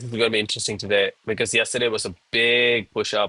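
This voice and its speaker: The voice is bright, sharp and animated, moving at a fairly quick pace with a dry, close sound that has no echo. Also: man. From India, Chennai, Tamil Nadu. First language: Tamil. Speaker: live-streaming day trader. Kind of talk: live trading stream commentary. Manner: casual, animated.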